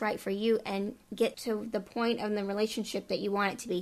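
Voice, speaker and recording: A woman with an American accent speaks at a moderate pace in a fairly high pitch, using an ordinary speaking voice. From Texas, El Paso. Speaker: dating podcast host. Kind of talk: casual chat.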